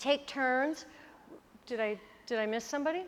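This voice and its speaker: A woman talks at a high pitch. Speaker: yoga teacher trainer. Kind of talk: workshop instruction. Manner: casual, filler-heavy; loud.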